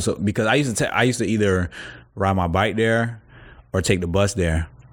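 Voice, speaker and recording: A man with an American accent talks at a fairly quick pace with a fairly low pitch, in a very clean recording with a silent background. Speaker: rapper. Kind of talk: casual chat.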